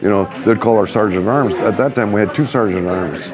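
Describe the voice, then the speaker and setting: A man with an American accent talks at a fairly quick pace in a fairly low pitch. His pitch varies in an ordinary way, and noticeable background noise is present. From California, Soledad area. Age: 70s. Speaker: car club co-founder. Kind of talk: interview. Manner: halting.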